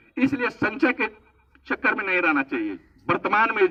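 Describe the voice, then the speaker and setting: Raised and projected, a man's voice swings very widely in pitch. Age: 60s. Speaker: government official speaking at event. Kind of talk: public speech. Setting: event at old age home.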